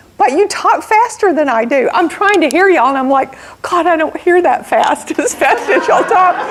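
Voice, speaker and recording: A woman with an American accent speaks at an extremely high pitch and very even loudness, with noticeable background noise. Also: lively intonation. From US South, southern Alabama. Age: 60s. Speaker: entrepreneur and guest speaker. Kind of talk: motivational talk to audience. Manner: slow.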